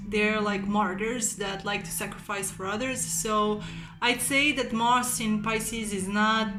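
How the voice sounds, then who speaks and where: With a Slavic accent, a woman speaks fairly slowly at a medium pitch and fairly even intonation, with audible room echo and music in the background. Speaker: amateur astrology video maker. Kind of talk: casual satirical monologue. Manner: hesitant, many fillers.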